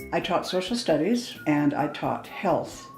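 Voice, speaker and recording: A woman speaks with a Canadian accent, with audible room echo. Music plays in the background. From Canada, Calgary. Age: 70s. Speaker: retired teacher. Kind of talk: interview testimony. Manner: hesitant fillers.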